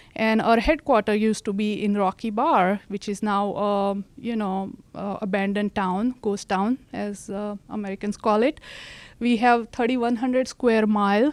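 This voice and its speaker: A woman with an Indian accent speaks with fairly even intonation, dry and close with no echo, on a very clean recording with a silent background. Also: fairly high pitch for a woman, moderate pace. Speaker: county land use director. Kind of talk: presentation. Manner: halting.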